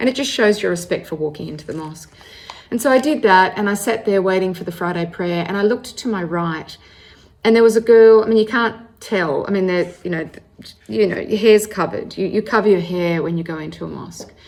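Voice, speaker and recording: At a fairly quick pace, a woman with an Australian accent talks at a medium pitch with ordinary pitch variation. Her loudness swings widely amid noticeable background noise. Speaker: storyteller sharing faith journey. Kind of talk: personal testimony. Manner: conversational, with self-corrections.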